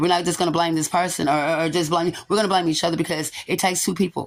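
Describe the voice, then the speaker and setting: A woman speaks very fast in a fairly low voice with monotone, flat intonation. Her loudness is very even, and the recording is very clean with a silent background. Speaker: tarot reader. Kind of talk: spiritual reading monologue. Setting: quiet room without background music.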